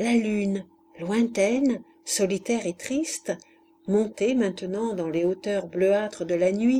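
Pitch varies in an ordinary way as an unforced reading voice goes on.

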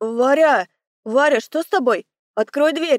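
A woman's high-pitched, put-on character voice, dry and close with no echo. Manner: panicked, anxious.

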